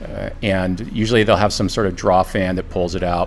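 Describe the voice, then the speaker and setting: Noticeable background noise surrounds a man whose very deep, low voice comes through. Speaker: surfboard shaper. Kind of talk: casual expert conversation.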